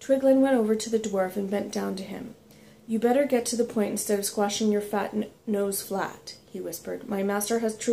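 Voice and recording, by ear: Someone reads aloud in a natural voice.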